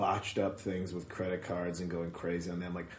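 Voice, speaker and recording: Very deep and low, a man's somewhat breathy voice comes across with an animated tone and an American accent. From Chicago suburbs. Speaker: stand-up comedian. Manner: animated, rant-style, sarcastic.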